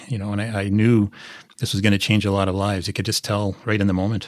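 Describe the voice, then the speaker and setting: A man speaks with a Canadian Prairies accent at fairly low pitch, in a monotone, flat intonation. The recording is very clean with a silent background, and the sound is dry and close with no echo. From Saskatchewan, Canada (small town near Prince Albert). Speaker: sports journalist. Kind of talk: interview.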